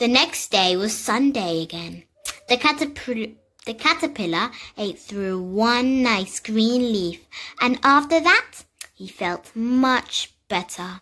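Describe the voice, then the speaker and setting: In a British accent, a woman speaks very slowly with lively intonation and a fairly high pitch. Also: big swings in loudness. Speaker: reader. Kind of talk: children's picture book reading. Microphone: phone near.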